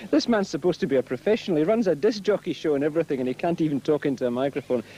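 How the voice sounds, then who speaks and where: Lively intonation and a dark, mellow tone come through in a Glaswegian accent at a very fast pace, with very even loudness. The sound is dry and close, with no echo. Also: man, fairly high pitch for a man. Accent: Glaswegian Scottish. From Glasgow, Scotland. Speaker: speedway interviewer. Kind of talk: trackside sports interview. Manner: jokey, teasing.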